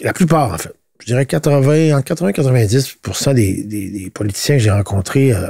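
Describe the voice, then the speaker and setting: With a Quebec accent, this voice has a dark, mellow tone, sounds somewhat breathy, moves at a fairly quick pace and swings very widely in pitch. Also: man. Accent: Québécois French. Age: 60s. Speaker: politician. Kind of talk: podcast interview. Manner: halting, many repetitions and fillers.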